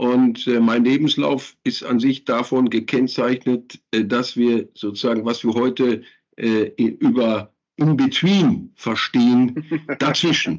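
Very slow speech in a Ruhr accent, with very even loudness and ordinary pitch variation. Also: man, medium pitch for a man. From Germany, Ruhr area (Gelsenkirchen). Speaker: landscape architect. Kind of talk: interview. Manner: hesitant, many fillers.

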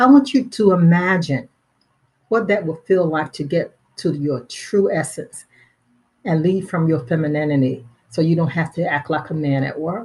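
A woman's somewhat breathy, fairly low voice with an American accent and lively intonation. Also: moderate pace. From Pennsylvania, US.

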